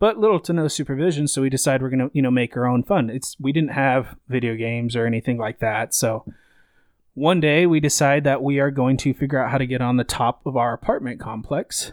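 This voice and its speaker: An unremarkable speaking voice with an American accent moves at a fairly quick pace with ordinary pitch variation, in a very clean, silent, dry and close recording with no echo. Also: man, medium pitch for a man. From Idaho, US. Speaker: podcast guest. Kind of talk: casual chat.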